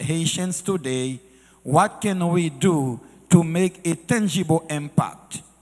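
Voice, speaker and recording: A man talks at a very slow pace in a high voice. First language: French / Haitian Creole. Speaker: church speaker. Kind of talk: sermon-style talk.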